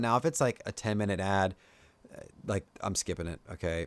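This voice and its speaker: Very fast and with lively intonation, a man with an American accent talks on a very clean recording with a silent background. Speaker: tech YouTuber and podcast host. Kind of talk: casual solo podcast talk. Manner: casual, many fillers.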